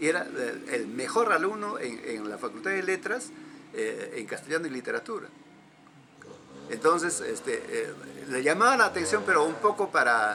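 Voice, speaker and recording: Here a man talks at a moderate pace. Noticeable background noise can be heard. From Peruvian Andes, Huancavelica/Junín. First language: Quechua (speaking Spanish). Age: 70s. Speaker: folk music collector and cultural promoter. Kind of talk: interview. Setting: at home. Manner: halting, many repetitions and fillers.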